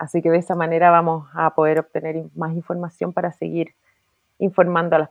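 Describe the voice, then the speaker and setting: Speaking at a fairly quick pace, a woman keeps her fairly low pitch in a flat monotone. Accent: Chilean. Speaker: businesswoman and horse breeder. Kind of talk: casual interview conversation.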